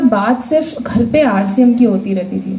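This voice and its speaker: Noticeable background noise and audible room echo surround a woman whose intonation is lively. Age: 20s. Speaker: motivational speaker at business seminar. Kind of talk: motivational speech. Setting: stage with audience. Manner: animated.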